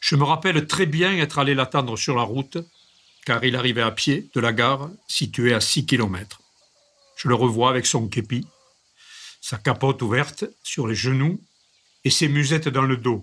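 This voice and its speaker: The speaker has a regional French accent, a moderate pace with long, frequent pauses, and ordinary pitch variation. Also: man, medium pitch for a man. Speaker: reader. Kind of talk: reading aloud of a memoir.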